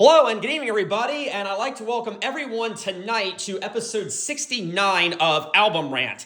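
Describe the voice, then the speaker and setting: A man talks at a fairly quick pace in a raised, projected voice, high-pitched and animated, with lively intonation and hardly any pauses. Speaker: music album reviewer. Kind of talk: album review monologue. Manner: loud at times.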